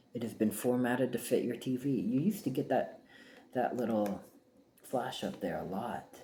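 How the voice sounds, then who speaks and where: A soft-spoken man with a dark, mellow tone and medium pitch talks at a moderate pace with lively intonation. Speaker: VHS collector showing thrift haul. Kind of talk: casual ASMR haul video. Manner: halting.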